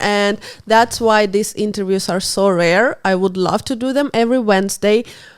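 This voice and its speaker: Speaking at a moderate pace, a woman with a non-native accent has a medium pitch. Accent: non-native English, self-described. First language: not English. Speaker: podcast host. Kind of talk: interview.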